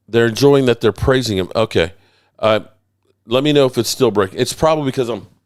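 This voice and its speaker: Here a man speaks at a very fast pace. His voice sits at a medium pitch. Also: ordinary pitch variation. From Virginia, US. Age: 60s. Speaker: sports YouTuber. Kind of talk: livestream commentary. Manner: casual, halting.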